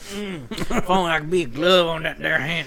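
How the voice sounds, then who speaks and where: At a fairly slow pace and middle pitch, someone performs a put-on character voice over clear background noise. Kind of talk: rustic, rural.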